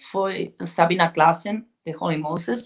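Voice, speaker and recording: A woman with a fairly low pitch speaks at a fairly slow pace, keeping her intonation fairly even. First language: Spanish or Galician (speaking Portuguese). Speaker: heavy metal band vocalist. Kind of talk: interview. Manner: halting.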